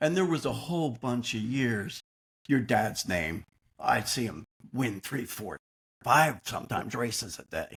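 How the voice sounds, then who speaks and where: A man's voice with vocal fry at a fairly slow pace, in a dry, close sound with no echo. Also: medium pitch for a man, lively intonation. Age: 70s. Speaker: podcast co-host. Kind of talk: casual chat.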